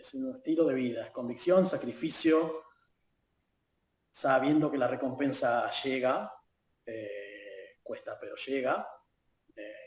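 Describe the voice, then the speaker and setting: A man with an Argentine accent speaks at a very slow pace. He leaves long, frequent pauses, and his loudness shifts in big swings. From Argentina, La Plata. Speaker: football fan. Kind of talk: interview. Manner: halting.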